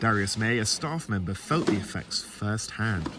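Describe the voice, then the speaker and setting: A man speaks with an English accent. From England, Watford (northwest of London). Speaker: student TV reporter. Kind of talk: TV news reporting. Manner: formal.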